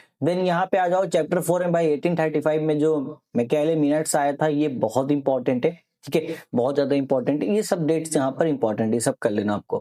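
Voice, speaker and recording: The man's voice has a fairly high pitch and a dark, mellow tone. He keeps a moderate pace with very even loudness and hardly any pauses. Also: ordinary pitch variation. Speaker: online teacher. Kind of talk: exam revision tutorial. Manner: casual, conversational.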